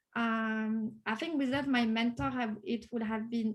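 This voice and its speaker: In a French accent, a woman speaks with a high pitch. Her pitch varies an ordinary amount. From France. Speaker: Salesforce developer, course graduate. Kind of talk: interview. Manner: hesitant, many fillers.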